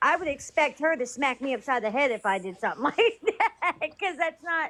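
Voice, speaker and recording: Her voice is high-pitched and bright, with a sharp tone. A woman's pitch swings very widely. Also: fairly quick pace. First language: not English. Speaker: live stream host. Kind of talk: casual group chat.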